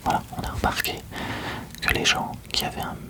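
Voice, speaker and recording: A man whispers in a calm tone over noticeable background noise. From Lille, northern France. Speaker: ASMR creator. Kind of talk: ASMR roleplay, sleep clinic consultation. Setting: binaural studio recording. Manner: soft-spoken, calm, whispering.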